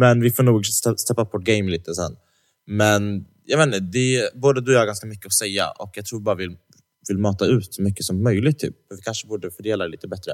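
Speaking at a very fast pace, a male voice sits at a fairly low pitch. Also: ordinary pitch variation. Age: 20s. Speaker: podcast co-host. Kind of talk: casual chat. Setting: studio.

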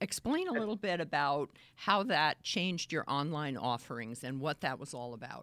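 A woman with a Boston accent speaks at a moderate pace, her very deep, low voice making very wide pitch swings. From Boston area. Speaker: interviewer host. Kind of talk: live interview. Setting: video call livestream.

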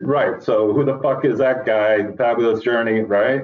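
Fairly even intonation at a moderate pace, with audible room echo. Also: man, medium pitch for a man.

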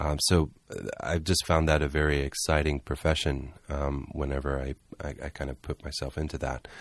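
In an American accent, a man with a very deep, low pitch and vocal fry talks in a monotone, flat intonation. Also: moderate pace, hardly any pauses. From US South, Charleston, South Carolina. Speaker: artist and art director. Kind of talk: interview. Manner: halting, many fillers.

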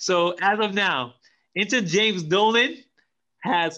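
Speaking at a slow pace, a man has a bright, sharp tone.

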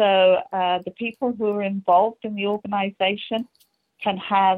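A woman with an English accent talks at a moderate pace in a monotone, flat intonation. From England. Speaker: strategy consultant. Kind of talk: interview.

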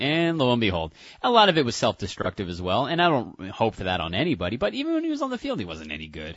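A man speaks at a very fast pace with hardly any pauses and a medium pitch. His voice has vocal fry and very wide pitch swings. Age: 30s. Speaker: radio co-host. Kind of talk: casual sports talk.

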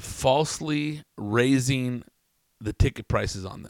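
Recorded very cleanly against a silent background with a dry, close sound and no echo, a man with an American accent speaks at a medium pitch in an animated tone with lively intonation. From Southern California, Riverside area. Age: 40s. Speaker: podcaster. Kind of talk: casual monologue. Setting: home studio.

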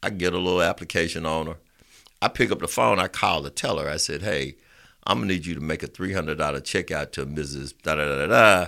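On a very clean recording with a silent background, a man with a very deep, low pitch, a bright, sharp tone and vocal fry speaks at a very fast pace. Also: ordinary pitch variation. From Alabama, Roosevelt City near Birmingham. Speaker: small business lending executive. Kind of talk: casual interview chat.

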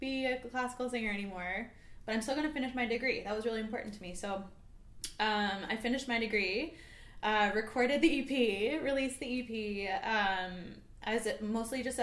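Spoken with a Canadian accent, the voice shows ordinary pitch variation and carries audible room echo. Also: woman. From small town British Columbia, Canada. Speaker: singer-songwriter. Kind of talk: casual interview. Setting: studio, livestream.

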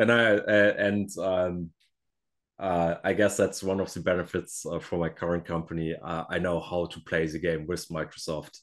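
A man with a German accent speaks in a very deep, low voice with fairly even intonation. The background is quiet. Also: moderate pace. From Germany. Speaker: software engineer and Azure MVP. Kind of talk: casual interview. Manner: halting, with fillers.

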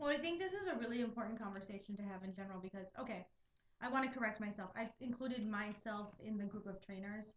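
A woman's somewhat breathy, fairly high voice at a very fast pace, with ordinary pitch variation. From Puerto Rican and Mexican heritage. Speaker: podcast co-host. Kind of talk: casual chat.

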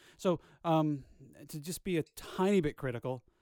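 In a very clean recording with a silent background, a man's dark, mellow voice has a dry, close sound with no echo. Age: 30s. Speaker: podcast co-host. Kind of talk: casual chat.

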